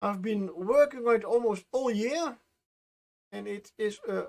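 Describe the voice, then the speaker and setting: A man speaks with a non-native accent and a high pitch. His pitch variation is ordinary. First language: not English. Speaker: miniature painting streamer. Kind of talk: casual live-stream commentary. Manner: halting, many fillers.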